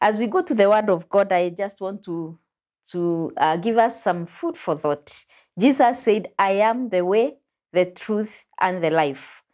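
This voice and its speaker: Lively intonation marks a woman speaking at a fairly slow pace. The background is quiet. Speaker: pastor and show host. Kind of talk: religious teaching discussion. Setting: studio. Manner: animated. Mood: warm, smiling, welcoming. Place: studio. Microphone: lapel.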